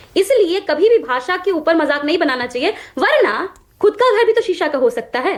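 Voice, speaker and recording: Amid noticeable background noise, a woman talks in an animated tone at an extremely high pitch, her voice swinging very widely. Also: moderate pace. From Bihar, Magadh region. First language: Magahi (speaking Hindi). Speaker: political party spokesperson. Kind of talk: heated TV debate.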